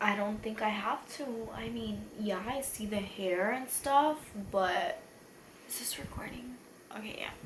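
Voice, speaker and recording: A woman speaks at a fairly high pitch and a fairly slow pace, with ordinary pitch variation. Audible room echo and noticeable background noise are present. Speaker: beauty youtuber. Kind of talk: makeup tutorial. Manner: rambling, slurring drunk chatter.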